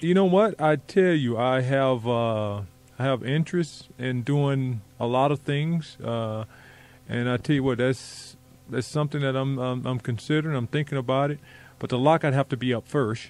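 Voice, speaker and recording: This man has an ordinary speaking voice, medium in pitch with ordinary variation, delivered at a moderate pace. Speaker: former NBA player, guest radio co-host. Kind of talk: casual radio interview answer.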